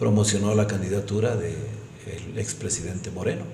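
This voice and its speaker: Speaking fairly quickly at a fairly low pitch, a man is heard with audible room echo and noticeable background noise. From Ecuador, Imbabura (San Antonio de Ibarra). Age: 60s. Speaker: politician. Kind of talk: interview.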